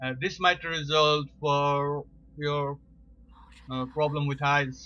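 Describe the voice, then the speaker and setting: With a non-native accent, a man speaks very slowly in a fairly high pitch with monotone, flat intonation. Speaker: amateur science video presenter. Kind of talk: informal educational talk. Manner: slow, deliberate; halting, many fillers.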